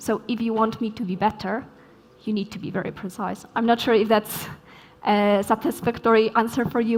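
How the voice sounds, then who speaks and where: Speaking at a fairly quick pace, a woman with a Polish accent has a fairly high pitch. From Poland. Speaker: software developer, keynote speaker. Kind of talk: conference Q&A answer.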